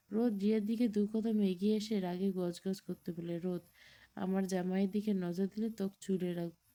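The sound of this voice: Heard here is an unforced reading voice with fairly even intonation.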